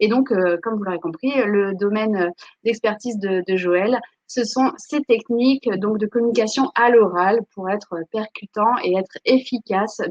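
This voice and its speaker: The speech moves at a fairly slow pace with ordinary pitch variation. The sound is dry and close with no echo. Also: woman. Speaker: webinar host for a school. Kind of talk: live webinar introduction. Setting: online live stream. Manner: hesitant, many fillers.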